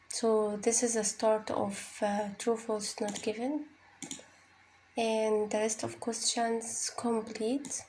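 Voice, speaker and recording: Over noticeable background noise, a woman with an Arabic accent speaks at a very slow pace with a fairly high pitch and monotone, flat intonation. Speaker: IELTS tutor. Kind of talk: tutorial. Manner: halting, many fillers and repeats.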